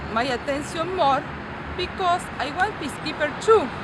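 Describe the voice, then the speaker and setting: A woman with a non-native accent speaks at a fairly slow pace over noticeable background noise, with audible room echo. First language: not English. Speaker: ESL student, former peacekeeper. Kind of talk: class presentation. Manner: halting.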